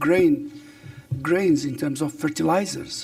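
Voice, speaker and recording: A man speaks with music in the background. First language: Arabic (also Berber). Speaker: government official, professor. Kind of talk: press briefing. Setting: press briefing room with online audience. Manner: hesitant, many fillers.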